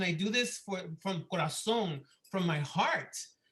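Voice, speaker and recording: A man with a Spanish accent speaks in a raised, projected voice with a high pitch. His tone is bright and sharp, and his intonation fairly even. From Miami, Florida. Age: 50s. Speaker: assistant principal. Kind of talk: public meeting presentation.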